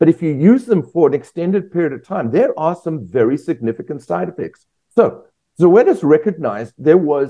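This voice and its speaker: Lively intonation runs through a man's fairly high voice. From South Africa. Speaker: veterinarian. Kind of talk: interview.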